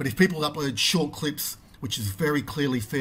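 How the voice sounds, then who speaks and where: The voice is a man's, fairly high in pitch and somewhat breathy. His pitch varies in an ordinary way. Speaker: video creator. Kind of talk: angry rant about YouTube copyright claims, to camera. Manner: indignant, emphatic, repeating phrases; fast, stumbling with frequent fillers and restarts.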